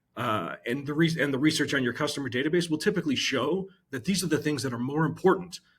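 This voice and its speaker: Somewhat breathy and fairly high in pitch, a man speaks at a very fast pace. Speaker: marketing executive. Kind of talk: podcast interview. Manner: hesitant, many fillers.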